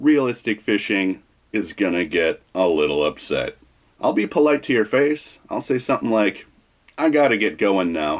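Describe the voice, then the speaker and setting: A man with a fairly low pitch speaks with very wide pitch swings. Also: moderate pace. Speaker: fishing YouTuber. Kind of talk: vlog commentary.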